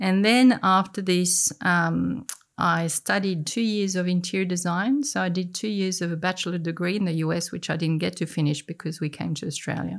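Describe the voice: A medium-pitched woman at a moderate pace in a very clean recording with a silent background. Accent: French.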